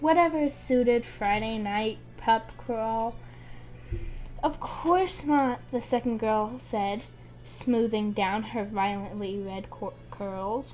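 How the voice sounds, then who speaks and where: Her pitch is fairly high, with ordinary variation. The woman speaks very slowly. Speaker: amateur book reader. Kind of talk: reading aloud. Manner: halting.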